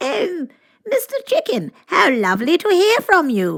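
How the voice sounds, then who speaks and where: In a put-on character voice, a woman sounds squeaky, with extremely high pitch and very wide pitch swings. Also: moderate pace. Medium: read story. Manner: gracious, refined.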